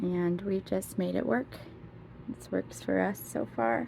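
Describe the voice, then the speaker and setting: Very slow speech over noticeable background noise. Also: woman. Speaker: lifestyle vlogger, stay-at-home mom. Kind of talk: casual home vlog. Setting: at home, closet tour.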